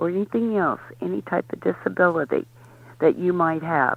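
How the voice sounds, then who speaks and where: A woman with a fairly low pitch talks at a moderate pace with lively intonation. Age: 60s. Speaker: drag racer. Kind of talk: interview. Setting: radio show.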